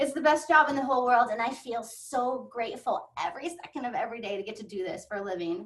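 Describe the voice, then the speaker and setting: Her high pitch and lively intonation mark a woman speaking at a fairly quick pace. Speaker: professional dog photographer. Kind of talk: webinar presentation. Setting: online webinar. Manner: fast.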